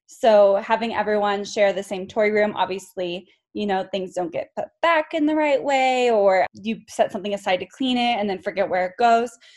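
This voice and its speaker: This is a plain, everyday voice, a woman's at medium pitch with an American accent. She keeps a moderate pace with ordinary pitch variation and hardly any pauses. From California. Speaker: speech-language pathologist. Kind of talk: casual chat.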